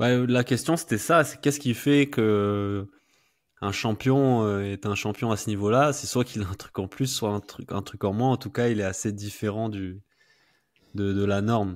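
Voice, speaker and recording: In an unremarkable speaking voice, a man talks at a fairly slow pace with a fairly low pitch and ordinary pitch variation, against a quiet background. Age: 30s. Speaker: podcast host. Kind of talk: interview. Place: home room. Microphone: studio mic.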